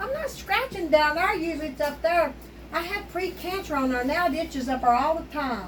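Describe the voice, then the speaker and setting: Amid noticeable background noise and room echo, a woman with an Appalachian accent talks fairly quickly in a high pitch with lively intonation. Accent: Appalachian US Southern. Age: 60s. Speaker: home cooking video host. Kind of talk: casual cooking chat. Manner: animated.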